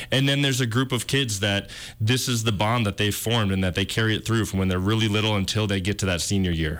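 A man with an Upper Midwest accent, fairly low in pitch, at a very fast pace, with ordinary pitch variation and very even loudness. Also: hardly any pauses. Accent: Upper Midwest (Minnesota). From Twin Cities, Minnesota. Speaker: film producer. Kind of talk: interview. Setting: studio.

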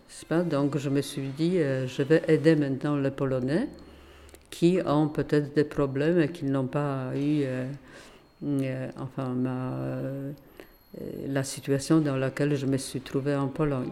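Dark and mellow in tone, the voice moves at a very slow pace with long, frequent pauses and a monotone, flat delivery. It carries a Polish accent. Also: woman, very deep, low pitch for a woman. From Poland, Warsaw. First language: Polish (speaking French). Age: 80s+. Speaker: retired teacher, association founder. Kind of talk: interview. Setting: association office. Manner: halting.

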